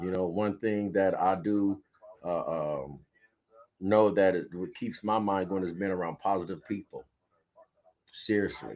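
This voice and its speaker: Pausing long and often, a man with a fairly low pitch speaks at a fairly slow pace. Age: 60s. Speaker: radio podcast host. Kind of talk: casual live-stream monologue. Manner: casual, meandering, filler-heavy.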